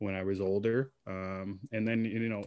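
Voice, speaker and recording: On a very clean recording with a silent background, a man with a Canadian accent speaks in a fairly low, monotone, flat voice. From Canada. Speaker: podcast guest. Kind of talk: casual chat.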